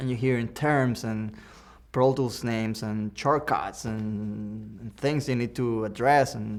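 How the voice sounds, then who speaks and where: A man talks in a Cuban accent at a medium pitch. He speaks at a fairly slow pace with fairly even intonation. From Cuba, Havana. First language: Spanish. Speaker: audio engineer. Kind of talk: Q&A talk with students. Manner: halting, many restarts and fillers.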